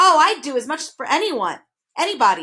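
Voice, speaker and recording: A woman's high, put-on character voice at a fairly quick pace. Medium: read story. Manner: gleeful, cold.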